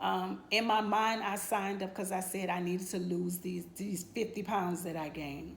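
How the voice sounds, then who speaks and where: Audible room echo surrounds this recording. In it, a woman's pitch varies in an ordinary way. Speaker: nurse giving a client testimonial. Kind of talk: testimony. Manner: halting, many fillers.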